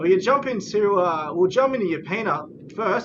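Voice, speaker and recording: The speech comes at a moderate pace with noticeable background noise behind it. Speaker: esports caster. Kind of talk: live commentary. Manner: animated.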